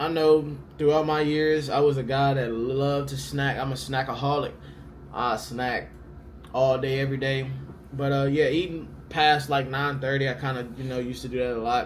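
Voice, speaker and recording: At a moderate pace and medium pitch, a man speaks in a flat monotone, with audible room echo and noticeable background noise. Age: 20s. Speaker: pro baseball player and vlogger. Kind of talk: casual Q&A vlog. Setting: hotel room. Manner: casual, filler-heavy.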